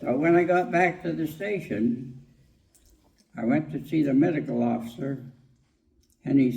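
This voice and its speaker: Speaking with a Canadian Prairies accent, a man uses a dark, mellow, somewhat breathy tone at a moderate pace with ordinary pitch variation, long, frequent pauses, and audible room echo. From Saskatchewan, Canada. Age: 80s+. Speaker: war veteran. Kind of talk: storytelling. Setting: stage with audience.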